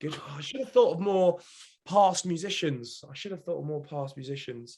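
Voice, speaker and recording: A man with a British accent talks in a high pitch and a dark, mellow tone. His intonation is lively, and his loudness swings widely. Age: 20s. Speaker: reality TV contestant and mental health advocate. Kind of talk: casual podcast chat. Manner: animated, fast.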